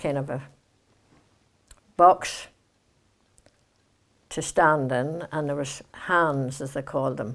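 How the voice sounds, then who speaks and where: In a Northern Irish accent, a woman with a very deep, low voice speaks at a very slow pace with long, frequent pauses, in a very clean recording with a silent background. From Kilkeel, Northern Ireland. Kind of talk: oral history interview answer.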